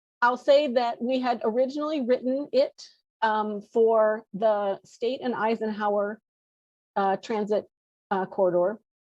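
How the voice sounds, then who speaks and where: This woman has an unremarkable speaking voice, fairly high in pitch, with ordinary pitch variation. She talks at a fairly slow pace, and the sound is dry and close with no echo. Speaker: city planner presenting to commission. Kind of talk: presentation at public meeting.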